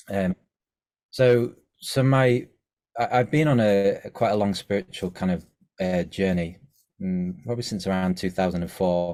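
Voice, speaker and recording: A man with an English accent, fairly low-pitched and dark, mellow in tone, at a moderate pace with ordinary pitch variation and long, frequent pauses, on a very clean recording with a silent background. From England, Scunthorpe. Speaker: musical artist. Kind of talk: interview. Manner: halting, many fillers.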